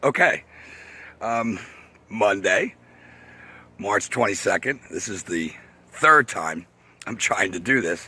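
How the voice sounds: A man speaks at a fairly slow pace in a raspy, put-on character voice. His pitch sits in the medium range, with lively intonation.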